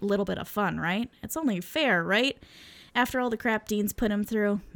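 Reading in a natural voice

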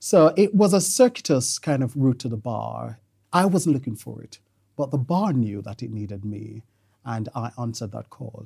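Ordinary pitch variation and vocal fry mark this dark, mellow voice on a very clean recording with a silent background. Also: man. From Jamaica. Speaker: family law barrister. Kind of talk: interview.

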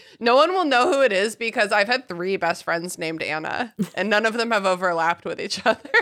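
Animated and fairly quick, a woman speaks with lively intonation at a fairly high pitch over noticeable background noise. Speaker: podcast host and author. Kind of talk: casual chat.

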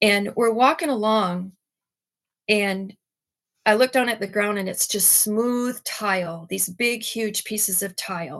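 In an American accent, a woman with an unremarkable speaking voice and fairly high pitch talks at a fairly slow pace with ordinary pitch variation. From Michigan. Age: 50s. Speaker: guest giving testimony. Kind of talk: testimony.

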